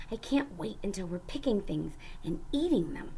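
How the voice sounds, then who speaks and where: A woman's put-on character voice at medium pitch, with clear background noise. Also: moderate pace. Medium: read story. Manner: forceful, decisive.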